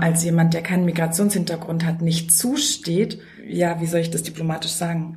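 A woman's somewhat breathy, fairly low voice with audible room echo. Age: 30s. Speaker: teacher and researcher. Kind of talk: interview.

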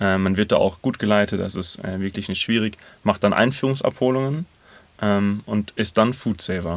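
Ordinary pitch variation at a moderate pace, on a very clean recording with a silent background. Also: man, fairly low pitch for a man. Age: 30s. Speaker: food-saving volunteer. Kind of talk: interview. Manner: hesitant, many fillers.

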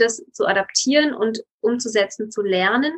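A normal speaking voice from a woman at a fairly high pitch and a fairly slow pace. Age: 30s. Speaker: lawyer, yoga teacher and nutrition coach. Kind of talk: interview.

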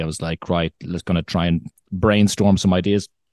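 Someone with a Dublin accent talks at a very fast pace. The sound is dry and close with no echo, over a quiet background. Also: man. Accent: Irish (Dublin). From Ireland, Dublin. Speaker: content creator, former musician and actor. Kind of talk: casual chat. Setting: video call.

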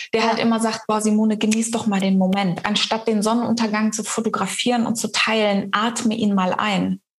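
A woman speaks at a fairly quick pace with a fairly high pitch. Her intonation is monotone and flat, and her loudness stays very even. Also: hardly any pauses. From East Africa. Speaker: mind and business coach. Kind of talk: casual interview chat.

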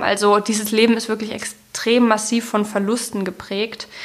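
A fairly high-pitched woman's voice amid noticeable background noise. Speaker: writer, literary critic and podcast host. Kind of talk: literary discussion podcast. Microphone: sound less clear due to broken cable.

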